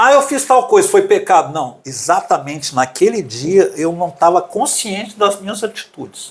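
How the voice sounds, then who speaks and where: Here a man speaks at a moderate pace in a high pitch. His pitch swings very widely. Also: hardly any pauses. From Brazil, Paraná and Belo Horizonte. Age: 60s. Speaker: musician and preacher. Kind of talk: interview.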